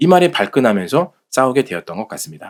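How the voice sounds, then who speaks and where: The voice shows vocal fry and very wide pitch swings at a fairly quick pace. The sound is dry and close with no echo. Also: man. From South Korea, Jeolla province. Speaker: political commentary channel host. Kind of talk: reading aloud.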